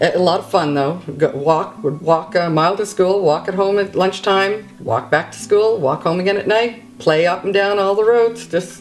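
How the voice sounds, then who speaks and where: A woman with a New Brunswick accent speaks at a moderate pace and medium pitch, with ordinary pitch variation and hardly any pauses. Noticeable background noise runs behind her. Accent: Atlantic Canadian (New Brunswick). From Gray Rapids, New Brunswick, Canada. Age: old. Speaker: storyteller. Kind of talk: casual reminiscence, interview answer.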